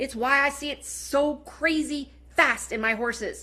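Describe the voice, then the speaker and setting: A woman's high-pitched voice, bright and sharp in tone, with an animated delivery. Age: 40s. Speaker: network marketing seller. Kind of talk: sales pitch. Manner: fast.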